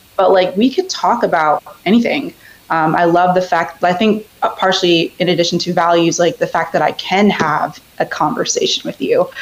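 A woman with an American accent speaks at a moderate pace and a fairly low pitch, with ordinary pitch variation. Background noise is noticeable. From US, Northern Virginia. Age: 20s. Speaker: caller guest. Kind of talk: casual chat.

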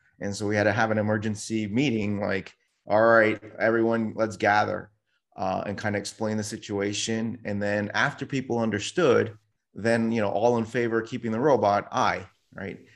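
An ordinary speaking voice from a man, fairly low in pitch, at a moderate pace over a quiet background. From New York City. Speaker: tech company CEO. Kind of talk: interview.

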